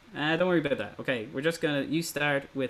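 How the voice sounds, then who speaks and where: Over noticeable background noise, a man with an Irish accent talks at a fairly quick pace in a fairly high pitch. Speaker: ukulele teacher. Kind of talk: online workshop lesson.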